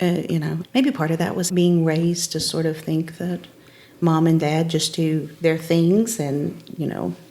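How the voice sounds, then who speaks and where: At a fairly slow pace, a woman speaks with an Appalachian accent. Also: fairly low pitch for a woman, fairly even intonation. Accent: Appalachian Southern US. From Upper East Tennessee, Appalachian Mountains. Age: 50s. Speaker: elementary school principal. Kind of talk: casual chat.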